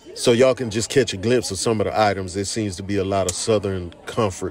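Very fast speech with fairly even intonation, a dry sound with no echo and light background noise. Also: man, fairly low pitch for a man. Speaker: food vlogger. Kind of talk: casual vlog chat. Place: cafe. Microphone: phone near.

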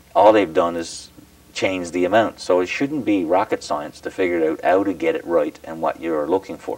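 A man with a Newfoundland accent speaks at a moderate pace, with a dry sound and no echo. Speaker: provincial politician. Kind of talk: formal presentation speech; interview. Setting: studio. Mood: mildly critical, explanatory. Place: home room.

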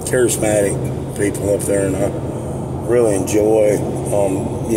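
Loud background noise fills the recording. A man talks with ordinary pitch variation. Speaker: vlogger. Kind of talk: casual vlog chat. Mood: relaxed, friendly, laughing. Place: car. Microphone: phone near.

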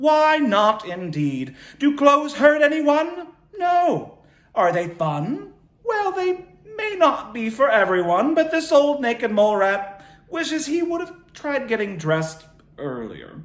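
Using a put-on character voice, a man talks at a fairly slow pace with extremely high pitch and very wide pitch swings, with audible echo. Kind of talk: children's story reading. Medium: read story. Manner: heroic, regal, proclaiming. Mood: solemn, warm.

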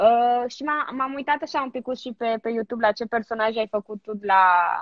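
Against a quiet background, a woman speaks at a moderate pace with a fairly high pitch and ordinary pitch variation. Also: dry sound with no echo. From Romania. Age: 20s. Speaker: TV presenter. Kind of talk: casual chat. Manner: animated. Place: home room. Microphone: phone near.

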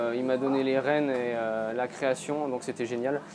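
Over noticeable background noise, a man speaks at a fairly slow pace with fairly even intonation. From France, Nancy (Lorraine); Lorraine, France. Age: 30s. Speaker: charcutier-caterer, business owner. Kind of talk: interview testimony. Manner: halting, many hesitations. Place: shop. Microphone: lapel.

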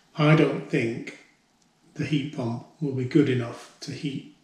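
There is audible room echo as a man speaks. His intonation is fairly even. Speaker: homeowner DIY vlogger. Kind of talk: casual vlog chat. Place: home room. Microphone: camera far.

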